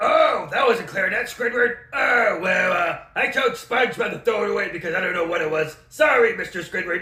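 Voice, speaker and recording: A man uses a put-on character voice pitched extremely high. He talks fairly quickly with hardly any pauses. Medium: comedy sketch. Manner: dismissive, stingy.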